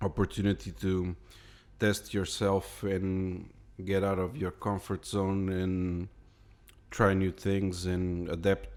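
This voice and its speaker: With a non-native accent, a man speaks very slowly in a very deep, low voice, captured in a very clean recording with a silent background. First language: not English. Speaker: illustrator. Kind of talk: casual narration. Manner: halting, repeats words.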